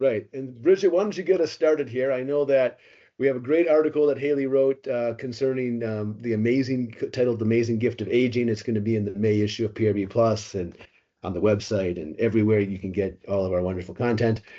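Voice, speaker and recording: At a very fast pace, a man talks with medium pitch and ordinary pitch variation. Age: 50s. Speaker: podcast host and magazine publisher. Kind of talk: podcast interview.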